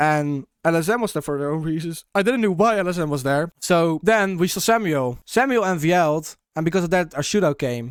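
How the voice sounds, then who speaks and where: On a very clean recording with a silent background, a man speaks at a fairly high pitch with ordinary pitch variation, the sound dry and close with no echo. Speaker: gamer, content creator. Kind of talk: casual commentary. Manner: halting.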